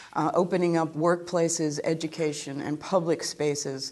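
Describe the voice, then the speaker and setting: Speaking at a moderate pace in an American accent, a woman uses a monotone, flat intonation and a dark, mellow tone. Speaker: law professor. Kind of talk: lecture. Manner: reading from a script.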